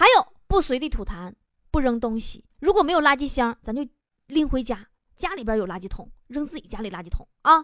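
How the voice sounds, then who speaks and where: A woman with a high pitch speaks at a fairly quick pace in an animated tone. Her pitch swings very widely and her loudness shifts a lot. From rural China, farming family. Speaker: radio host. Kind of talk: radio talk show monologue. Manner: animated, frequent laughter.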